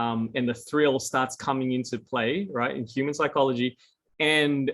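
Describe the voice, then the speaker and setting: An unremarkable speaking voice belongs to this man at a medium pitch. He keeps a moderate pace with fairly even intonation. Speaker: crypto educator. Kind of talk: lecture.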